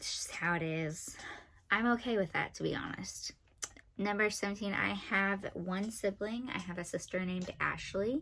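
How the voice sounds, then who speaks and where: A woman of medium pitch speaks at a moderate pace. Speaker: family vlogger. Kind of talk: casual vlog monologue. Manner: monotone.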